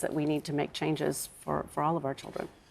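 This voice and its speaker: A woman with a North American accent speaks at a fairly quick pace. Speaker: bereaved parent campaigner. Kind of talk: TV interview. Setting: TV studio sofa. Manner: halting.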